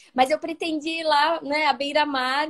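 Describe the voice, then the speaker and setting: Her pitch is high, with ordinary variation. The woman speaks in a Brazilian accent. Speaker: preschool teacher. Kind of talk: live stream interview. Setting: live video stream, on holiday at a cousin's house.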